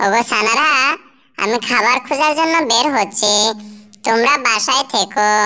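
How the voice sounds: A cartoonish character voice that sounds female, pitched fairly high, delivers its lines at a fairly slow pace.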